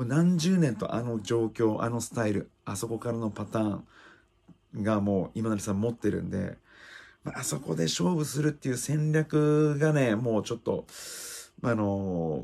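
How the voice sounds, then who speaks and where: The man's tone is dark and mellow. He talks at a moderate pace with lively intonation. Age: 30s. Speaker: MMA fighter and YouTuber; fighter commenting on an event. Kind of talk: casual fight commentary monologue. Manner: hesitant with frequent fillers. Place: home room. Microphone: phone near.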